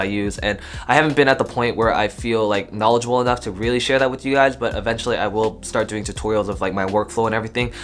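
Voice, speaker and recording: Barely pausing, a man with an American accent rushes along very fast in an animated tone at a medium pitch, with noticeable background noise. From US, Korean American community. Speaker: YouTube vlogger, college student. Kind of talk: casual Q&A vlog. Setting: home studio.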